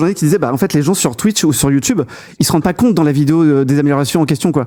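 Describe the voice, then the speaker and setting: At a very fast pace, a man with a fairly high voice speaks in a dark, mellow tone. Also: very even loudness. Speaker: tech podcast host. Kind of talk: casual tech podcast discussion. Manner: halting, many fillers.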